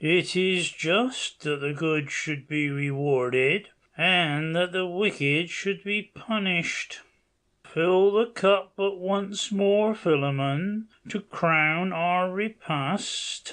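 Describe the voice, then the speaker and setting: A man in a put-on character voice speaks very slowly at a high pitch. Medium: read story. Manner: solemn, measured.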